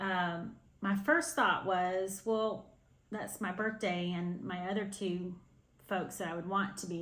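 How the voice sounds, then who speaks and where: Audible room echo carries speech that moves at a fairly slow pace with fairly even intonation. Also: woman. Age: 60s. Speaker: cross-stitch video host. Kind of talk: casual chat to camera. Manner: hesitant, many fillers.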